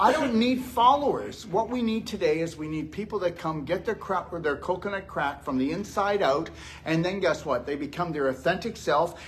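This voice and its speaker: Over noticeable background noise and audible room echo, a man with an American accent talks at a moderate pace in a high pitch with lively intonation. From Texas. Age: 60s. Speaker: health lecturer. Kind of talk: live lecture. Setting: stage with audience at a gym. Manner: animated, conversational.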